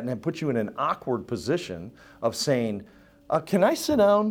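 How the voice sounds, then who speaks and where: Recorded very cleanly against a silent background, this is a man's voice. He keeps a moderate pace. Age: 60s. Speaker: pastor. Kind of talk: church membership class teaching. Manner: casual, joking.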